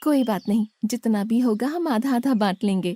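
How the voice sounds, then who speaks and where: A cartoonish character voice at a moderate pace, captured in a very clean recording with a silent background. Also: female-sounding voice, fairly high pitch for a woman. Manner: sweet, respectful.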